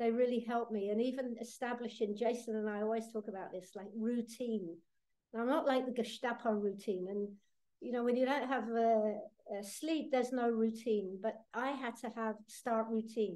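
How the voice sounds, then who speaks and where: Speaking with a British accent, a woman has a fairly high pitch, a dark, mellow tone and fairly even intonation. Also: moderate pace. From Britain. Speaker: terror attack survivor. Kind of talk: testimony. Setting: video call. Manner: halting.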